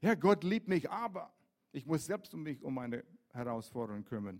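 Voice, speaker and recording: A somewhat breathy man speaks at a fairly high pitch that swings very widely. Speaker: pastor. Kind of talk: sermon. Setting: church.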